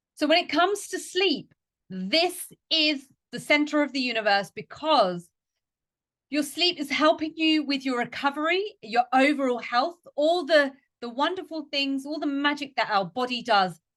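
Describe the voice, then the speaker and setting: Speaking at a moderate pace, a woman with a high voice sounds animated and uses lively intonation. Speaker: fitness coach and podcast host. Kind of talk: educational podcast talk.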